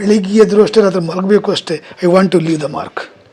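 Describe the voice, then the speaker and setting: A man talks with a high pitch and fairly even intonation. There is noticeable background noise. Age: 50s. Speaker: politician. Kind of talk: press statement. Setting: press meet. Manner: halting.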